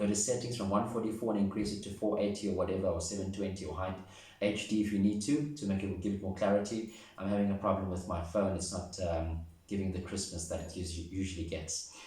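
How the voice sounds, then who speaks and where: At a very fast pace, a fairly low-pitched man speaks amid noticeable background noise and audible room echo. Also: fairly even intonation. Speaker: tarot reader. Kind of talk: tarot reading to camera.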